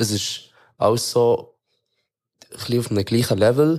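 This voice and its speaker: Speaking at a fairly slow pace, a man uses a medium-pitched voice with a dark, mellow tone and ordinary rises and falls in pitch. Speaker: rapper. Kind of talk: casual chat. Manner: halting, repeats words.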